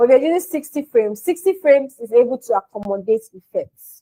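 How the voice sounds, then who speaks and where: A woman speaks loudly with lively intonation. The sound is dry and close, with no echo. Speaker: mobile videography instructor. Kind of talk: livestream tutorial. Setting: live stream with chat.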